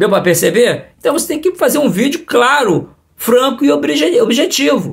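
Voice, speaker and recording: Spoken at a fairly slow pace over a quiet background, the voice swings very widely in pitch. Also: man. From Brazil. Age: 60s. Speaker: coin collecting youtuber. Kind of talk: tutorial. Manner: animated. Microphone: phone near.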